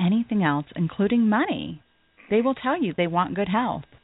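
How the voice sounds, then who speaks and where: Delivered at a moderate pace with lively intonation, this is a normal speaking voice. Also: woman. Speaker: radio host, financial advisor. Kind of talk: radio talk show. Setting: studio.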